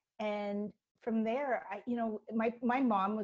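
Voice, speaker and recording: This is a woman's voice. She keeps to a moderate pace. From Canada. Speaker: writer. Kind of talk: interview.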